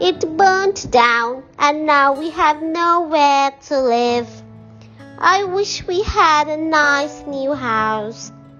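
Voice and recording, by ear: A female-sounding, squeaky put-on character voice speaks with a high pitch at a very slow pace. Clear music plays in the background.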